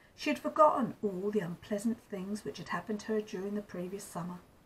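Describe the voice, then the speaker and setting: A woman speaks in a somewhat breathy voice at medium pitch with ordinary pitch variation. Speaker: grandmother storyteller. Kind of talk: storybook reading aloud.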